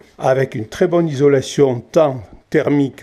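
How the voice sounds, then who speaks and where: A man speaks in a dark, mellow tone. His pace is fairly slow. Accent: southern French. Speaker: chalet owner. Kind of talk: property video tour.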